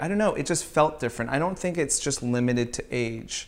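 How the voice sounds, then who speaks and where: Pitched fairly high, a man with an American accent and an unremarkable speaking voice talks with lively intonation. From Southern California (Riverside). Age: 30s. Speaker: streetwear designer and brand founder. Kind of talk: casual interview chat.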